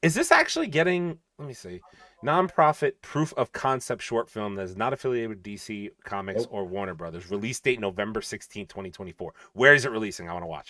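A man talks with very wide pitch swings, big swings in loudness and hardly any pauses, in a dry sound with no echo against a quiet background. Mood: excited, joking. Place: home room.

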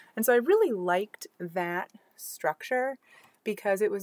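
Her speech has a moderate pace and a dry sound with no echo. The woman is heard against a quiet background. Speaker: book reviewer. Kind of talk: casual vlog chat. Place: home room. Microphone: webcam.

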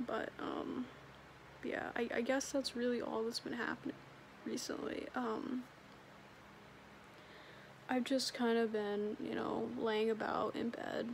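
Light background noise sits behind a woman speaking very slowly in a weary tone. She leaves long, frequent pauses. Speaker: vlogger. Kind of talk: casual vlog chat. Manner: weary, low-energy drowsy speech. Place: home room. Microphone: phone near.

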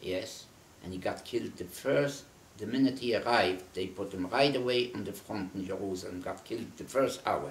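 Somewhat breathy and fairly low, a man's voice moves at a moderate pace with ordinary pitch variation and audible room echo. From Poland. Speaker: Holocaust survivor. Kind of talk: oral history interview; interview answer. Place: home room. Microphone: camera far.

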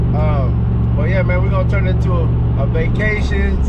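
Loud background noise fills the clip as a man talks at an even, moderate speed. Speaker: car vlogger. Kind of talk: casual vlog chat. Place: car. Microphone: phone near.

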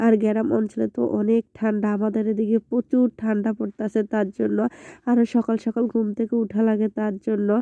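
A woman with a fairly high voice speaks in a dark, mellow tone with monotone, flat intonation and very even loudness. The sound is dry and close with no echo over a quiet background. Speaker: vlogger. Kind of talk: cooking vlog narration.

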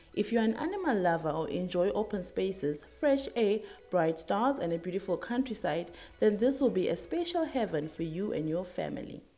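Over noticeable background noise, a woman speaks with very wide pitch swings. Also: medium pitch for a woman, moderate pace. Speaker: TV presenter. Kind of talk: scripted narration.

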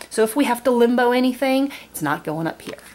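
A woman speaks at a moderate pace in a warm tone, with very wide pitch swings and light background noise. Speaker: board game video creator. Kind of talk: tutorial. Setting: at home, tabletop. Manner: warm, friendly. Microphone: camera far.

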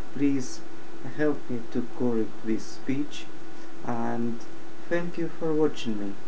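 A man's medium-pitched voice with a Russian accent, a very slow pace, ordinary pitch variation and noticeable background noise. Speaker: IT support worker. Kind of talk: casual talk to camera. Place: home room. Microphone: webcam.

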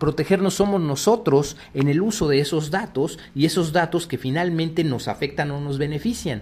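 A man with a fairly high pitch and a dark, mellow tone speaks at a moderate pace. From Mexico City. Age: 50s. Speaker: cybersecurity executive. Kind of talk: radio interview. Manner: halting, many fillers.

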